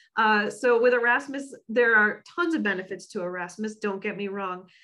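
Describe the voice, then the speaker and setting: Against a quiet background, a woman with an ordinary speaking voice talks at medium pitch with ordinary pitch variation. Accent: American. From United States. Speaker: education advisor. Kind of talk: webinar presentation. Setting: online webinar.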